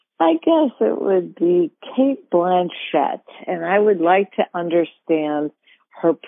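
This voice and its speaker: Speaking very slowly, a woman with an American accent uses a fairly low pitch. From Detroit, Michigan (East Side). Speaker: actress. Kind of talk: interview.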